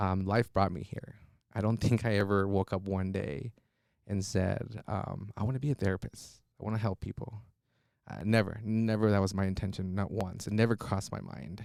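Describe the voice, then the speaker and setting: The recording is very clean, with a silent background. A man with a Spanish accent talks at a fairly low pitch. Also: fairly even intonation, moderate pace. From Mexico, Monterrey; moved between Mexico and US. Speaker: trauma therapist. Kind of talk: podcast interview. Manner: hesitant, many fillers.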